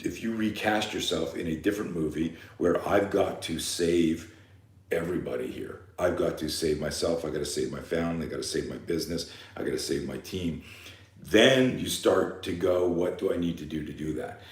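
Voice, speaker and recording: A man speaks in an animated tone at a moderate pace. Audible room echo surrounds his voice. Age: 60s. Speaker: fear management coach and self-defense instructor. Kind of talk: live seminar talk.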